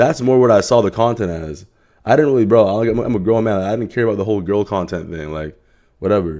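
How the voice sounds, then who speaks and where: A man with a fairly low pitch and a dark, mellow tone, ordinary pitch variation, a very fast pace, and a quiet background. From Canada. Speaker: streamer. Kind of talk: casual livestream reaction chat. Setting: live stream at home late at night. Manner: casual, rambling with fillers.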